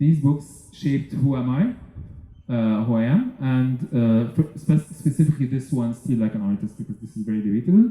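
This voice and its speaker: A man's dark, mellow, somewhat breathy voice sits at medium pitch with ordinary pitch variation. He keeps a moderate pace with hardly any pauses. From Egypt. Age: 30s. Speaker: entrepreneur and festival speaker. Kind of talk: conference talk. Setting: stage with audience. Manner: halting, many fillers.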